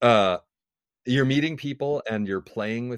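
With an American accent and a normal speaking voice, a man talks at a moderate pace with ordinary pitch variation in a dry, close sound with no echo. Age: 40s. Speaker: musician. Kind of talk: interview conversation.

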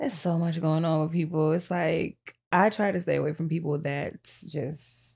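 A woman speaks at a fairly slow pace in a fairly low voice with vocal fry. Her intonation stays fairly even. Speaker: rapper. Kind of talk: casual chat. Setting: studio. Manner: laughs often.

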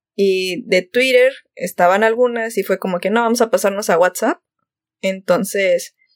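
In an ordinary speaking voice, a woman talks at a fairly slow pace with medium pitch and fairly even intonation, in a dry, close sound with no echo. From Monterrey, northern Mexico. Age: 20s. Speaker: podcast co-host. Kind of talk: casual chat.

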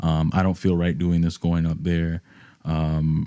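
At a moderate pace, the speaker talks with a New York accent in a dark, mellow tone. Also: man. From New York, the Bronx. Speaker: musician. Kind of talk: casual chat.

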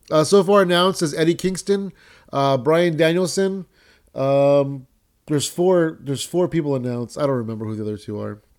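On a very clean recording with a silent background, a man with an American accent speaks at a fairly high pitch and a fairly quick pace, with an animated tone and lively intonation. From San Jose, California. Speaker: podcast host. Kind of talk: casual chat, podcast hosting with wrestling review. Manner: profane.

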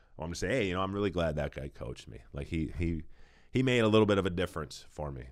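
Speaking very fast with an American accent, a man uses a very deep, low voice with vocal fry, lively intonation and big swings in loudness, recorded very cleanly against a silent background. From Minnesota, Saint Paul. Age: 40s. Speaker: retired football player. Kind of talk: casual interview. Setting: church building.

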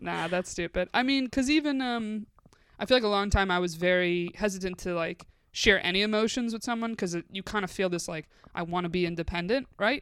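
On a very clean recording with a silent background, a woman of medium pitch speaks at a fairly quick pace in an ordinary speaking voice with ordinary pitch variation. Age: 20s. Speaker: comedian. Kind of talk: casual chat.

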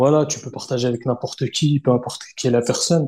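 A man speaks at medium pitch and a fairly quick pace. His intonation is fairly even and his voice is somewhat breathy. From Paris suburbs, Hauts-de-Seine. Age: 30s. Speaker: kenjutsu practitioner. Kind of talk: casual chat. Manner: halting, many repetitions.

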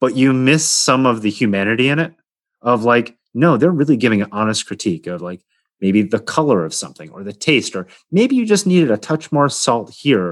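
With an American accent and lively intonation, a man talks at a fairly quick pace. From New York, Hudson Valley (Poughkeepsie). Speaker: pastry chef and culinary teacher. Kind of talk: interview conversation. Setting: video call from home. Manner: many fillers and hesitations.

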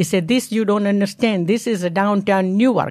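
A woman speaks with an Indian accent at a medium pitch and a fairly quick pace, with ordinary pitch variation. The recording is very clean, with a silent background. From India (Bombay). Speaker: mother of host, immigrant. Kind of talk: life story interview.

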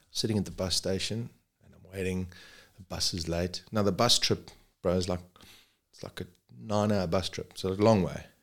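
In a very clean recording with a silent background, a man with a very deep, low voice talks at a fairly quick pace, using fairly even intonation, big swings in loudness, and long, frequent pauses. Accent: South African. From South Africa. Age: 40s. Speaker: paramedic. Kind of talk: casual chat.

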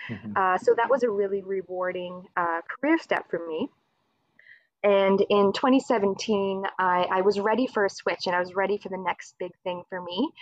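A woman's medium-pitched voice with a Maritime Canadian accent. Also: ordinary pitch variation, moderate pace. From Nova Scotia, Canada (Dartmouth). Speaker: government outreach coordinator. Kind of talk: interview. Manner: hesitant, many fillers.

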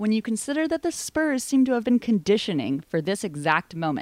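A woman's pitch swings very widely as she talks at a fairly quick pace, in a very clean recording with a silent background and a dry, close sound with no echo. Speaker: podcast host. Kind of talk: casual chat.

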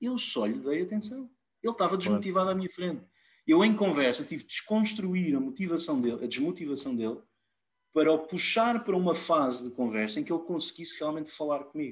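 A man's high voice with very wide pitch swings, delivered at a fairly quick pace. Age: 30s. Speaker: IT operations director. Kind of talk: casual interview.

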